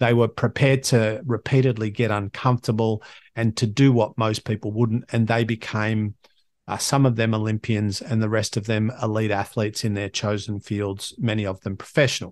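A man's medium-pitched voice with an Australian accent and flat, monotone intonation. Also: moderate pace, dry, close sound with no echo, quiet background. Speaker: podcast host. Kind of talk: solo monologue, motivational talk. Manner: conversational, motivational.

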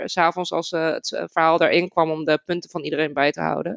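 The woman has an unremarkable speaking voice at a fairly low pitch. She speaks at a moderate pace with fairly even intonation. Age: 30s. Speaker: game narrator. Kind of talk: casual chat.

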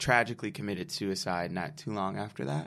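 A man with an American accent and an unremarkable speaking voice talks at a fairly low pitch with ordinary pitch variation, in a very clean recording with a silent background. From Detroit, Michigan. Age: 20s. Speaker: nonprofit founder. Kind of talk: casual chat.

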